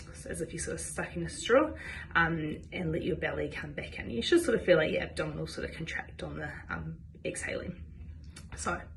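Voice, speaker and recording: In a New Zealand accent, a woman talks at a fairly quick pace with big swings in loudness. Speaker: physiotherapist. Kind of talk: instructional health talk to camera.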